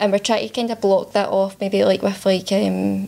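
A woman speaks at a medium pitch and moderate pace, with little pitch movement. Her tone is dark and mellow, with vocal fry.

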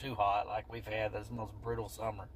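A man talks at a moderate pace, the sound dry with no echo and light background noise behind him. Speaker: vlogger. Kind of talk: casual vlog chat. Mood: relaxed, upbeat. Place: car. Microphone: phone near.

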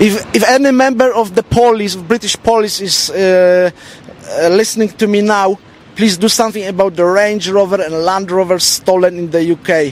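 With hardly any pauses, a man speaks in a high voice with ordinary pitch variation, over light background noise and with a dry sound with no echo. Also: moderate pace. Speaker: vlogger. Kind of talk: street interview. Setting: outdoors. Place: street. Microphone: handheld.

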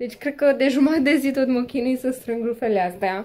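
A woman speaks, her pitch shifting in ordinary ways. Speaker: mother vlogger. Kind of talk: casual vlog chat. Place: home room. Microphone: phone near.

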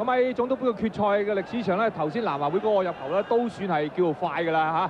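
A man speaks very fast with ordinary pitch variation. There is noticeable background noise. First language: Cantonese (speaking Vietnamese). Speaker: football commentator. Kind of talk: live commentary.

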